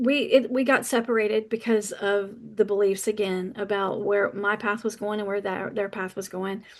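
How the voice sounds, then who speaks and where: Against a quiet background, a woman talks at a moderate pace with a fairly high pitch and an animated tone. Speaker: podcast host. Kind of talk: personal monologue.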